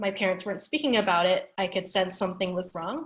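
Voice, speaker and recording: This woman has a medium pitch and an American accent. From United States. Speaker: panelist. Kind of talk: panel discussion.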